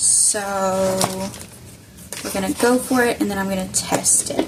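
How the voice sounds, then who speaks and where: A woman with a Southern US accent talks at a fairly slow pace. There is noticeable background noise. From US South. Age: 20s. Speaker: crafter. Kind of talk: crafting tutorial. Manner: casual thinking aloud.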